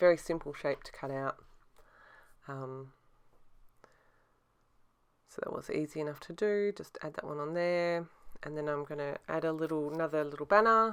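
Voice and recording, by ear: Long, frequent pauses break up speech delivered at a moderate pace. The tone is clear, smooth and fairly bright. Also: woman.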